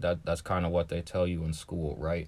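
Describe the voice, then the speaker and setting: A man's very deep, low voice with an American accent, on a very clean recording with a silent background. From US Midwest, Columbus, Ohio. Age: 20s. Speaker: optometry student, podcast host. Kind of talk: casual monologue. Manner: casual, frequent fillers.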